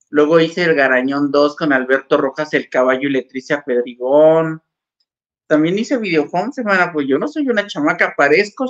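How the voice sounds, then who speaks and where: A woman with a very deep, low pitch and lively intonation, at a moderate pace against a quiet background. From Mexico. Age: 50s. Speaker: actress. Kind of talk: casual chat. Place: home room. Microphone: webcam.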